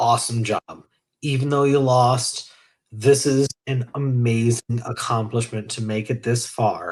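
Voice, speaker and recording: Speaking with an American accent, a man with a medium pitch sounds somewhat breathy. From western Massachusetts. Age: 30s. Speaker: online game player. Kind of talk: casual chat. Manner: animated.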